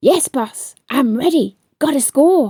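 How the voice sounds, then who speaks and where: Putting on a raspy character voice, a woman speaks fairly slowly at a high pitch with lively intonation. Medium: read story.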